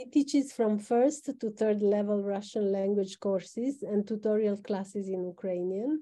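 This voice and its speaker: Against a quiet background, a woman with a dark, mellow tone speaks at a moderate pace with ordinary pitch variation and hardly any pauses. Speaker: organizer, moderator; moderator. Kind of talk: formal introduction. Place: office. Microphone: video call.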